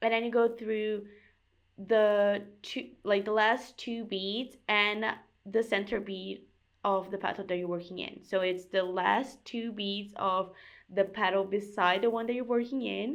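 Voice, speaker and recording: A woman with a non-native accent, medium-pitched, at a fairly slow pace over a quiet background. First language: not English. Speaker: crafts youtuber. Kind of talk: casual chat; tutorial. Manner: animated.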